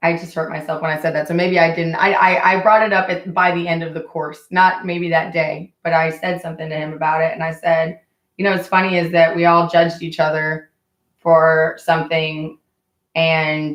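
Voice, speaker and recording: Speaking at a moderate pace in an American accent, a woman uses a fairly low pitch and monotone, flat intonation. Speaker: vlogger. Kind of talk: livestream chat. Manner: casual, rambling storytelling.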